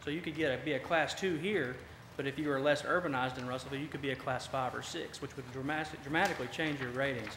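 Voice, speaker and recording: Audible room echo surrounds a man speaking very fast in a Southern US accent. His voice is fairly high and his intonation fairly even. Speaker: fire department officer. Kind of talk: presentation to city council. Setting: council meeting.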